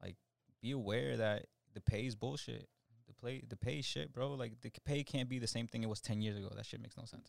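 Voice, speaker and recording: Speaking at a fairly quick pace, a man with a medium pitch shows vocal fry and ordinary pitch variation, recorded dry and close with no echo. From Colombia. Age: 30s. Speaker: music producer and artist manager. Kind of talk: casual chat.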